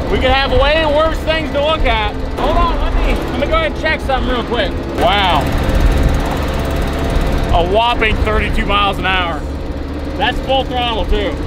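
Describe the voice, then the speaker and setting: Over loud background noise, a man speaks at a moderate pace with long, frequent pauses, the sound dry with no echo. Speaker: vlogger driving old jeep. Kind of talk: casual vlog chat. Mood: excited, joking. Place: car. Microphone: phone near.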